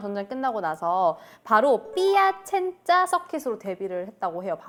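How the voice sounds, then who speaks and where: A woman speaks at a moderate pace with very wide pitch swings as music plays in the background. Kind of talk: casual, conversational.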